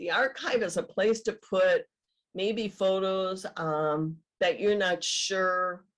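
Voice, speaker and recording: With an Upper Midwest accent, a woman speaks very slowly at a medium pitch with ordinary pitch variation. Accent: Upper Midwest American. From Michigan, USA. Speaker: genealogist, retired teacher. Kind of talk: webinar presentation.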